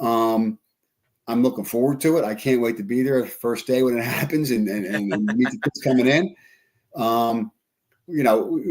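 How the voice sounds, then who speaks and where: A man speaks at a medium pitch. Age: 60s. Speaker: school superintendent. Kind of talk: casual interview. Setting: studio, live podcast. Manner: halting, many repetitions.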